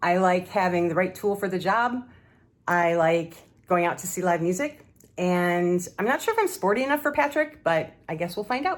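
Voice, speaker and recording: On a very clean recording with a silent background, an unremarkable speaking voice talks at a moderate pace with lively intonation. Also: woman, medium pitch for a woman. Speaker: dating show contestant. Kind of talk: recorded self-introduction.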